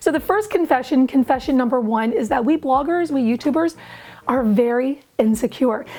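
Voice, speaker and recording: Over noticeable background noise, the speaker goes at a moderate pace with lively intonation. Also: woman. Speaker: DIY blogger and YouTuber. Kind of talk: casual talk to camera.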